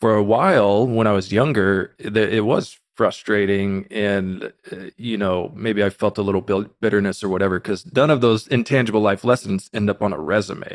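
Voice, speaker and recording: A man with an American accent speaks at a moderate pace in a fairly low pitch. He has an ordinary speaking voice with fairly even intonation. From Texas, Austin area. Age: 30s. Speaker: crypto marketing executive. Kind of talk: casual interview.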